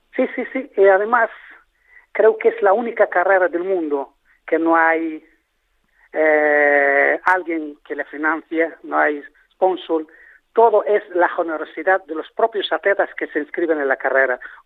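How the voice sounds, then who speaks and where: A fairly slow male voice, high in pitch, with ordinary pitch variation. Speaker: charity marathon organizer. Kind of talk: radio interview. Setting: phone call.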